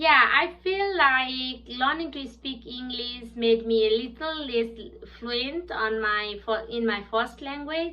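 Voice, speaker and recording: A woman with a Nepali accent and a high pitch talks at a very slow pace with hardly any pauses and ordinary pitch variation. Noticeable background noise and audible room echo fill the recording. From southern Bhutan (Nepali-speaking). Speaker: English language student. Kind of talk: prepared class presentation. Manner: halting with fillers.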